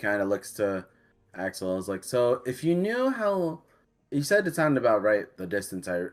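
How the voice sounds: The clip features a natural reading voice.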